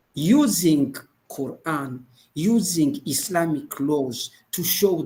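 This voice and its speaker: A man with a French accent, fairly high in pitch, with a dark, mellow tone, lively intonation and a very slow pace. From Burundi. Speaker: imam and women's rights advocate. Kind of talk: group video discussion. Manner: halting.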